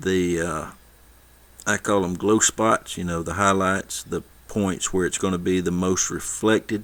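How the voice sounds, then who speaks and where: With fairly even intonation, a man speaks at a very deep, low pitch. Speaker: miniature painting tutor. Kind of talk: tutorial. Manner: fast; casual.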